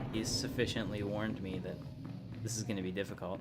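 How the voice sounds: Speaking at a moderate pace, a man has a fairly low pitch.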